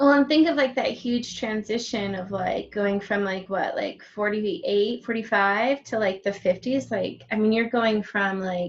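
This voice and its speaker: A woman with a plain, everyday voice speaks at a fairly slow pace and a fairly high pitch, with ordinary pitch variation and hardly any pauses. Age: 30s. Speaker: interviewer, healer. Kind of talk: interview.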